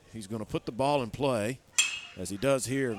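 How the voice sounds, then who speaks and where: Against noticeable background noise, a man talks at a moderate pace with medium pitch and ordinary pitch variation. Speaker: baseball play-by-play announcer. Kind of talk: live baseball play-by-play commentary with color analysis. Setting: stadium broadcast booth with headsets. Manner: measured, explanatory pitch-by-pitch delivery.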